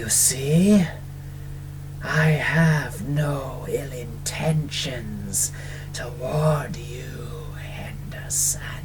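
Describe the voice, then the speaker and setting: Against loud background noise, a put-on character voice whispers in a raspy, hissing way, very slowly and with long, frequent pauses. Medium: read story. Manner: menacing; whispering.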